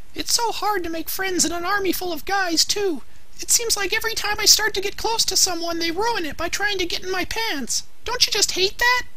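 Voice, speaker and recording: A woman's squeaky, put-on character voice at a fairly quick pace. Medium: fan dub.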